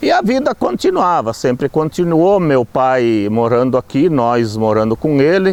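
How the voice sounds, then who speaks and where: In a normal speaking voice, a man talks with lively intonation, very even loudness and hardly any pauses. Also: medium pitch for a man, fairly slow pace. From Rio Grande do Sul, Brazil. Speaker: local resident. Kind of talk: testimony.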